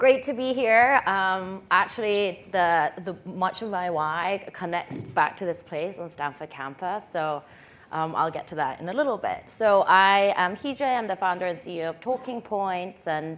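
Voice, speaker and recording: Hardly pausing at all, the speaker talks at a moderate pace with a Korean accent and lively intonation in a very clean recording with a silent background. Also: woman, medium pitch for a woman. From England, suburb of London (born in Korea, moved at eight). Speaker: tech founder and CEO. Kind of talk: panel discussion.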